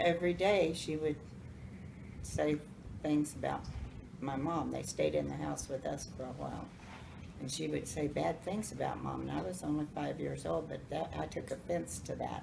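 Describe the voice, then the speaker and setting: With an Appalachian accent, a woman speaks at a moderate pace with long, frequent pauses, amid noticeable background noise and audible room echo. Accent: Southern US, Appalachian. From US South, North Carolina. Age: 70s. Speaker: grandmother telling life stories. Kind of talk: storytelling to family. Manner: halting.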